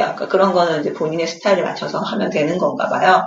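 Audible room echo hangs around a woman's voice. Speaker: podcast co-host, expectant mother. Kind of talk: casual chat.

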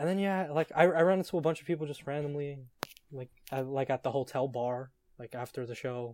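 Fairly quick and fairly high-pitched, a man talks with an American accent. His is an unremarkable speaking voice. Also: ordinary pitch variation. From New York City. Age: young. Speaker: writer. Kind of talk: casual chat.

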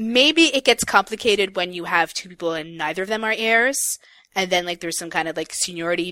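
Recorded with a dry, close sound and no echo, a woman's bright, sharp voice shows ordinary pitch variation. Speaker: podcast co-host. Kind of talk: casual chat. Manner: stumbles when reading aloud.

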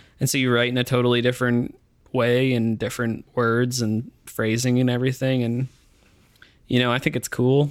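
A man speaks with monotone, flat intonation and very even loudness. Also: medium pitch for a man, moderate pace. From Ottawa, Canada. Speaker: musician, singer-songwriter. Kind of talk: casual interview chat. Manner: casual, hedging, many filler words.

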